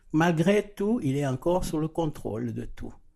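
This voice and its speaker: In a very clean recording with a silent background, a man speaks with a dark, mellow tone and ordinary pitch variation. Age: 60s. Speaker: church member sharing faith. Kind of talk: testimony. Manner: halting.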